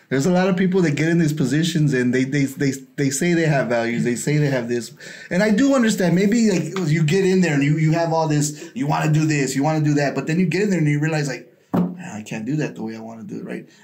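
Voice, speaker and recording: A man with an American accent and a fairly high pitch, talking very fast, with audible room echo and noticeable background noise. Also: ordinary pitch variation. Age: 40s. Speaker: podcast host. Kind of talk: casual interview chat.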